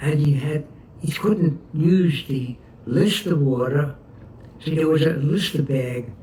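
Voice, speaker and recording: A man in an American accent, very slow, with ordinary pitch variation. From New York City, Brooklyn. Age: 80s+. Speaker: war veteran. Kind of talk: oral history interview. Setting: at home. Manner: halting.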